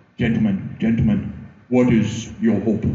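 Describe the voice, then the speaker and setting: There is a slight echo as a man delivers a put-on character voice at a medium pitch with monotone, flat intonation. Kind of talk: formal, preaching.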